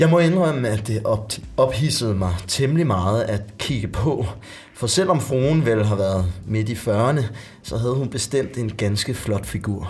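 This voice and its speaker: A man's somewhat breathy voice at medium pitch, with lively intonation and a fairly slow pace. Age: 20s. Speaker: actor. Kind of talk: casual chat, reading aloud.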